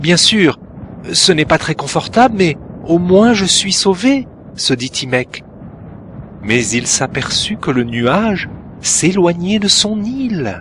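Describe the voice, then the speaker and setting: Pitched high for a man, this voice makes very wide pitch swings at a very slow pace. Noticeable background noise runs behind him. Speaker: storyteller. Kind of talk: read story. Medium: cartoon.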